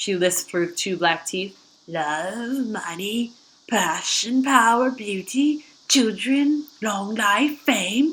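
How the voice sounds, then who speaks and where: A female-sounding, croaky put-on character voice with a fairly high pitch at a very slow pace. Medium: read story. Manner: sly, teasing.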